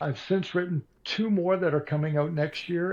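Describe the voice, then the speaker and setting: A somewhat breathy man at a moderate pace, with ordinary pitch variation, over a quiet background. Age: 60s. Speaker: author and radio broadcaster. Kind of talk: interview.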